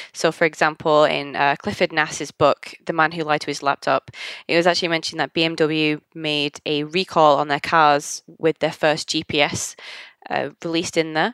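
A woman with a Manchester accent speaks in a very deep, low pitch with flat, monotone intonation, in a very clean, dry, close recording with no echo and a silent background. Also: moderate pace. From Manchester, England. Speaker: UX consultant and software developer. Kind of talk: casual podcast interview.

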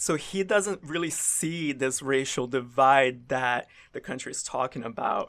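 A man speaks in a normal speaking voice with an American accent, his pitch fairly high with ordinary variation. His pace is fairly slow. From US South. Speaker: student news reporter. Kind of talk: interview. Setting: studio.

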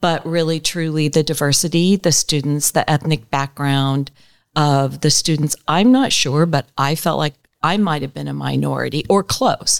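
A woman with an American accent and a very deep, low pitch, at a moderate pace with ordinary pitch variation, in a dry, close sound with no echo on a very clean recording with a silent background. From US West Coast, greater Los Angeles area. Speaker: communications director and former TV reporter and anchor. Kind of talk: interview.

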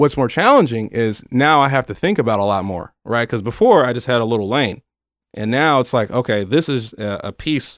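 In an unremarkable speaking voice with an American accent, a man talks at a moderate pace and medium pitch, with ordinary pitch variation. The recording is very clean with a silent background, and the sound is dry and close with no echo. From northern US. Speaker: county community outreach liaison, former TV news worker. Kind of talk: casual interview. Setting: studio.

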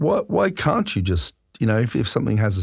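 A somewhat breathy voice moves at a fairly quick pace on a very clean recording with a silent background. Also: man. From Australia. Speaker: podcast host. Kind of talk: interview. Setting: studio.

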